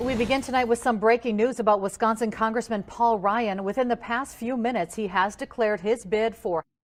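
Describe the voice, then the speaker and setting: A woman's fairly high voice, a plain, everyday voice, at a fairly quick pace with fairly even intonation and hardly any pauses. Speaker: TV news anchor. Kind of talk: TV news teaser.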